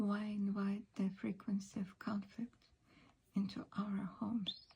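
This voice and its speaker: A soft-spoken woman's voice at medium pitch, somewhat breathy and very slow. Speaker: ASMR practitioner and Vedic astrologer. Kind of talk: ASMR astrology session. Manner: soft-spoken, calming.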